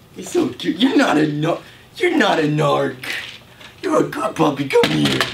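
This man's delivery is fairly slow. Background noise can be clearly heard. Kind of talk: comic acted rant at a dog. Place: home room. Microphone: camera far.

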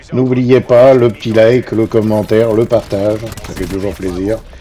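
Over noticeable background noise, a man with a medium pitch speaks at a fairly slow pace. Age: old. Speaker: gaming youtuber. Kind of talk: gameplay commentary. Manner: hesitant.

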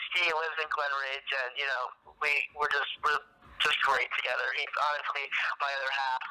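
Amid noticeable background noise, a man with an American accent and a fairly high pitch speaks at a moderate pace with fairly even intonation and long, frequent pauses. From northern New Jersey, US. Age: 20s. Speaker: PR company co-founder and college student. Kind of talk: interview.

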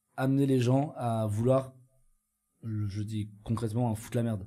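With a dark, mellow tone and medium pitch, a man speaks at a moderate pace using fairly even intonation. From Switzerland. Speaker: studio technician and protester; podcast co-host or guest. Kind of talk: casual conversation. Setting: studio. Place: studio. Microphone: studio mic.

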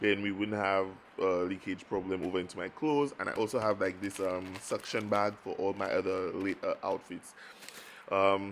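A plain, everyday voice at a moderate pace, over light background noise. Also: man. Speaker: travel vlogger. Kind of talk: casual vlog chat. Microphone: phone near.

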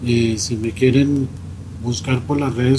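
A man with a medium pitch and fairly even intonation talks fairly slowly as noticeable noise carries on in the background. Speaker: radio host. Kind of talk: radio interview.

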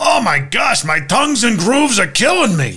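A man's put-on character voice at an extremely high pitch and a moderate pace. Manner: complaining, comedic.

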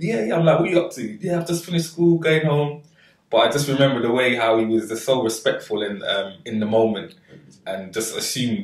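A somewhat breathy man speaks at a fairly quick pace. Audible room echo sits over a quiet background. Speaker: podcast host. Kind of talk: interview storytelling. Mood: warm, fond, smiling. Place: kitchen.

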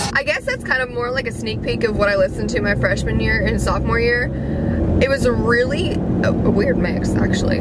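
A woman at a very fast pace, dry sound with no echo, loud background noise. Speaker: vlogger. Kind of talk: casual vlog chat. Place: car. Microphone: phone near.

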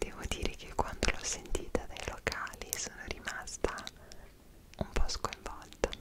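A woman whispers at a fairly slow pace. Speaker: travel vlogger. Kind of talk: casual vlog chat. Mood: animated, expressive storytelling. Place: home room.

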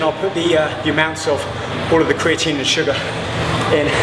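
Fairly quick speech over loud background noise. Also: man. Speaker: fitness trainer. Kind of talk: casual tutorial talk. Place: gym.

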